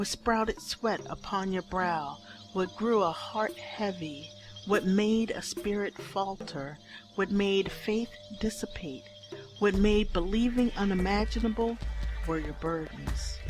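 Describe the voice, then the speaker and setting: Music in the background behind a woman speaking at a fairly slow pace. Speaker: poet. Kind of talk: spoken word poetry performance.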